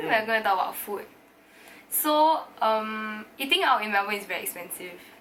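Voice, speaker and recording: A woman's voice at a moderate pace shows big swings in loudness, with noticeable background noise behind it. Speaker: university student. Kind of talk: casual talk to camera.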